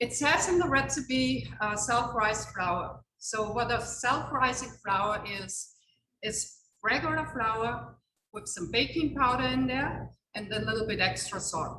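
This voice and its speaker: Speaking at a fairly slow pace, a woman with a non-native accent has a fairly high pitch and very wide pitch swings. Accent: foreign accent, noticeable. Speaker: chef. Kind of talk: cooking demonstration. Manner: chatty, anecdotal.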